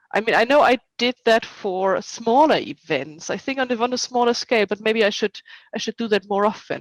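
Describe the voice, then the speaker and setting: Dry and close with no echo, this recording has a woman speaking at a fairly quick pace with a non-native accent. Her pitch is fairly high with ordinary variation. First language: not English. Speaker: historical reenactment society officer and event organizer. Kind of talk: interview.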